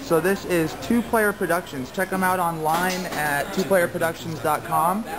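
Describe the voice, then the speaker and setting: At a moderate pace and with hardly any pauses, a woman speaks in an enthusiastic tone at a fairly low pitch, her loudness very even and her pitch varying in an ordinary way, amid noticeable background noise and audible room echo. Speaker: gaming video host. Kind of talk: event walkthrough vlog. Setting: expo hall lobby.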